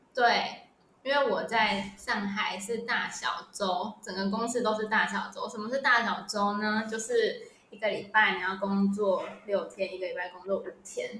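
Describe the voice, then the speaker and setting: A woman speaks fairly slowly at a fairly high pitch, with fairly even intonation but big swings in loudness. Audible room echo and noticeable background noise fill the recording. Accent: Taiwanese. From Taiwan. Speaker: retail product manager. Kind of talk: casual interview. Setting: remote recording.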